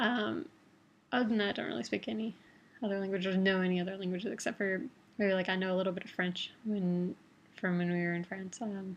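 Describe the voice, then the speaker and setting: Speaking very fast, a woman uses a Midwestern American accent. Her medium pitch shows ordinary variation. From Toledo, Ohio, Midwest US. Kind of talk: casual talk to camera.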